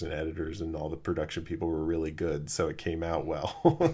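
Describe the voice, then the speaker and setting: In a very clean recording with a silent background, a man with an American accent speaks very fast in a very deep, low, somewhat breathy voice. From Los Angeles. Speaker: podcast host. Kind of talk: casual chat. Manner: hesitant with many fillers.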